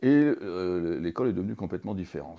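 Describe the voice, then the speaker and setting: With a very deep, low pitch and a dark, mellow tone, a man speaks with lively intonation over a quiet background. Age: 60s. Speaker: teacher and former business consultant. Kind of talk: interview. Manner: hesitant, many fillers and repetitions.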